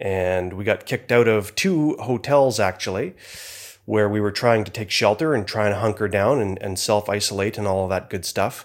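A plain, everyday voice at a moderate pace, in a very clean recording with a silent background. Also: man. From Canada. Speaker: motorcycle traveler. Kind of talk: recorded audio dispatch.

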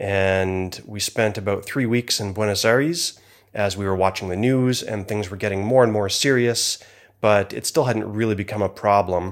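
An ordinary speaking voice from a man at fairly low pitch, moderate pace, on a very clean recording with a silent background. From Canada. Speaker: motorcycle traveler. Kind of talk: recorded audio dispatch.

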